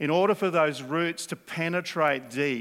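This man talks with an Australian accent and ordinary pitch variation. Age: 60s. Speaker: preacher. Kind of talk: sermon.

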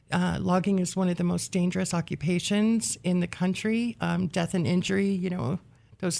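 A woman's unremarkable speaking voice with an American accent, fairly low in pitch, at a moderate pace, very even in loudness, on a very clean recording with a silent background. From rural western Oregon, US. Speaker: history graduate, researcher. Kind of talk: interview. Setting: radio studio.

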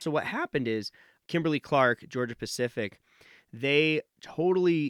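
An ordinary speaking voice from a man with an American accent, lively intonation and a moderate pace, dry and close with no echo on a very clean recording with a silent background. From Nevada, US. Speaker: professor of supply chain management. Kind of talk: interview.

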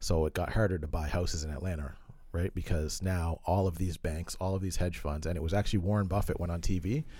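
Very fast and somewhat breathy, a man speaks with a very deep, low pitch and fairly even intonation. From Halifax, Nova Scotia, Canada. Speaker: real estate investor and entrepreneur. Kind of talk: interview. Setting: studio.

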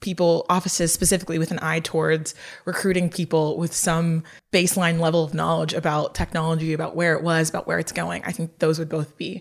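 Fairly low-pitched woman's voice with vocal fry, monotone and flat, at a fairly quick pace, on a very clean recording with a silent background. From Lagos, Nigeria. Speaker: nonprofit policy researcher. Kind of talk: in-depth interview.

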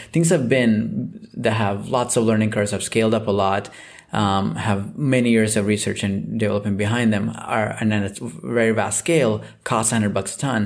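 A man speaks at a fairly low pitch with vocal fry. His pace is moderate and his pitch varies an ordinary amount. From Southeast India. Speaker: climate tech company CEO. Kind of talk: interview. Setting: remote call.

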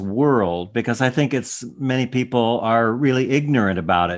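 In a very clean recording with a silent background, a man has an unremarkable speaking voice with a medium pitch and lively intonation. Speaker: radio host. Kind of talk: interview conversation.

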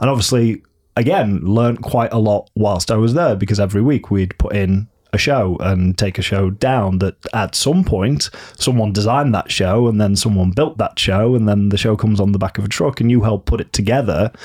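Speaking at a moderate pace with a northern English accent, a man with a fairly low pitch keeps his loudness very even and his pitch variation ordinary, on a very clean recording with a silent background. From northern England. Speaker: theatre designer. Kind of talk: casual interview.

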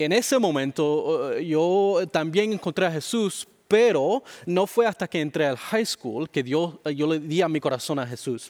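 A man with a high voice talks at a fairly slow pace, his intonation lively. The recording is very clean, with a silent background and a dry, close sound free of echo. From Miami, Florida, Cuban-Dominican family. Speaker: pastor. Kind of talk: interview. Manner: halting.

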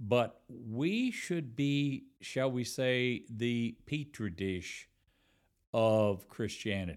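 On a very clean recording with a silent background, a man talks at a medium pitch with ordinary pitch variation. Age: 70s. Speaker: retired minister. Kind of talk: casual chat. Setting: in person.

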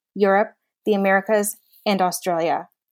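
An unremarkable speaking voice from a woman, medium in pitch and moderate in pace, on a very clean recording with a silent background. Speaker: podcast co-host and HR consultant. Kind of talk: interview.

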